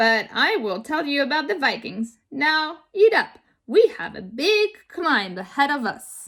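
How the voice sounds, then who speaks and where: A woman puts on a gruff character voice at a high pitch, swinging very widely up and down at a fairly slow pace. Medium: read story. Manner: teasing and warm.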